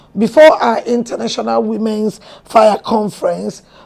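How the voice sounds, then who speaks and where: Noticeable background noise behind a woman's fairly high-pitched speech, its pitch varying in an ordinary way. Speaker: pastor and talk show host. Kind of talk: show introduction monologue. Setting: studio.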